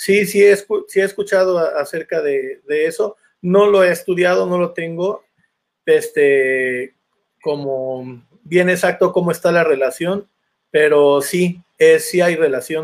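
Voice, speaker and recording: Speaking very slowly, a man uses a high-pitched voice. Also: ordinary pitch variation. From Veracruz, Mexico (Santiago Tuxtla). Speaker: son jarocho musician. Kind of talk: interview.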